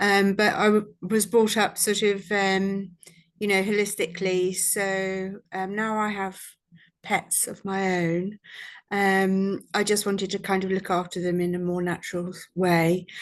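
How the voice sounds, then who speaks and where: Over a quiet background, a woman with a British accent speaks at a fairly slow pace with monotone, flat intonation. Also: medium pitch for a woman. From UK. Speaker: vet nurse and course student. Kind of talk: testimonial. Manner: hesitant, many fillers.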